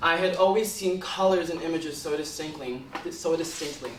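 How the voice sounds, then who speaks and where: A man with an American accent speaks at a high pitch. Audible room echo and noticeable background noise surround him. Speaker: student speaker. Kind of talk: talk.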